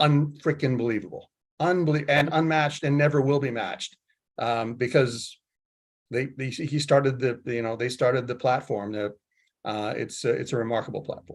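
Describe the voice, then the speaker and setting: Here a man talks at a moderate pace with medium pitch and ordinary pitch variation. The background is quiet. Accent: American. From California, Silicon Valley. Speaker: tech executive. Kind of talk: panel discussion. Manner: halting.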